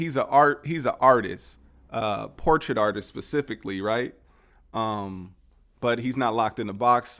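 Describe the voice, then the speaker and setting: A man speaks at a moderate pace in a plain, everyday voice of medium pitch with ordinary pitch variation, in a very clean recording with a silent background. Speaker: podcast host. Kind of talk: casual podcast conversation. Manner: upbeat, friendly.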